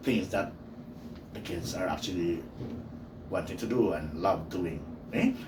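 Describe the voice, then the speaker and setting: A man at a moderate pace amid audible room echo. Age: 50s. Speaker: teacher. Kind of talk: personal monologue podcast. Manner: many fillers (okay, uh, you know).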